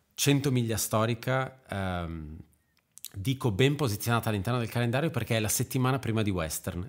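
Neither fast nor slow, the delivery holds an even tempo. Its pitch rises and falls by a normal amount. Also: man. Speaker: podcast host. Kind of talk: casual chat. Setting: video call.

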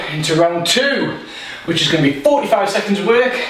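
A man talks at a moderate pace. There is light background noise and audible room echo. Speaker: fitness instructor. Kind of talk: workout instruction. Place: home room.

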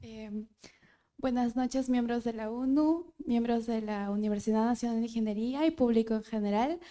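A woman talks at a moderate pace in a fairly high voice with a dark, mellow tone. Her pitch varies in an ordinary way, and the background is quiet. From Peru. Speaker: university student. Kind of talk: prepared speech. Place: hall. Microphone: handheld.

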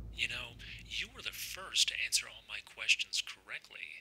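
A raspy, put-on character voice moves along at a moderate pace. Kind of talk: horror short film dialogue. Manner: menacing, taunting.

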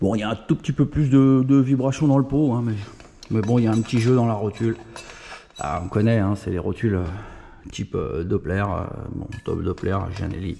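With lively intonation and long, frequent pauses, a man speaks over light background noise. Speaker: moped tuning youtuber and shop owner. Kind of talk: casual vlog, technical testing. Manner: playful, plays with his voice. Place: garage. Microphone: phone near.

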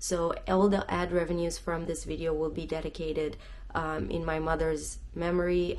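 Light background noise sits behind a woman who speaks at a moderate pace. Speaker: travel vlogger. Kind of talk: casual vlog chat. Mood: earnest, a little somber. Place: home room. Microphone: phone near.

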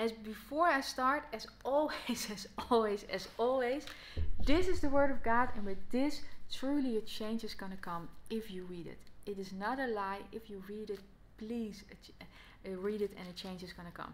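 The speaker has a Dutch accent, lively intonation and big swings in loudness. The pace is moderate, with light background noise. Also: woman, fairly high pitch for a woman. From Netherlands. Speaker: Bible teacher. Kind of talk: gospel teaching talk to camera. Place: home room. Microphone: phone near.

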